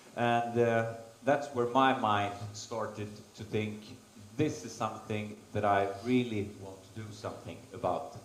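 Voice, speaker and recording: With a Swedish accent, a man speaks at a fairly slow pace with fairly even intonation and big swings in loudness, amid audible room echo and noticeable background noise. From Sweden, Stockholm. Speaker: race organiser and endurance racer. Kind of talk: conference presentation. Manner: halting.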